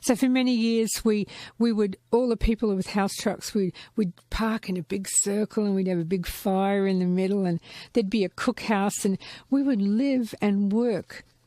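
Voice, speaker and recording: Speaking at a moderate pace and medium pitch, a woman has a dark, mellow tone and fairly even intonation, in a dry, close sound with no echo on a very clean recording with a silent background. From Gold Coast, Australia. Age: 60s. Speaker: podcast guest, former clown. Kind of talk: casual chat.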